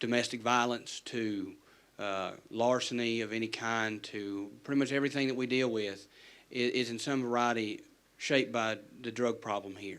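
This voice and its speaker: In an Appalachian accent, a man speaks at a moderate pace and medium pitch. His intonation is fairly even, and audible room echo can be heard. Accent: Appalachian American. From West Virginia, McDowell County. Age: 30s. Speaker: defense lawyer. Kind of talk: town hall question. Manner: halting, repeats words.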